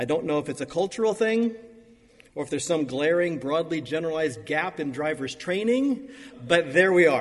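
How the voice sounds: A man talks at a moderate pace with a fairly high pitch and big pitch swings.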